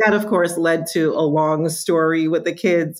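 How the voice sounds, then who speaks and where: The recording is very clean with a silent background. A woman with a plain, everyday voice speaks at a fairly low pitch and a moderate pace. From New York, born in Jamaica. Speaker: marketing executive. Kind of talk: interview.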